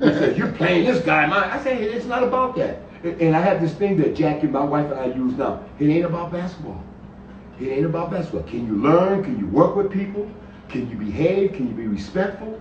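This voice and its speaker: A man with an American accent speaks in a high pitch with very wide pitch swings, at a fairly quick pace. Noticeable background noise and audible room echo fill the recording. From Hartford, Connecticut. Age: 70s. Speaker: basketball coach. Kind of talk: interview on a live stream.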